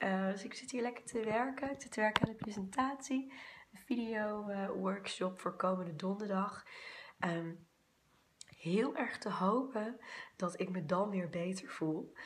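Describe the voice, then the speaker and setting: A woman puts on a character voice at a medium pitch. Her voice sounds hoarse. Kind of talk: casual vlog chat.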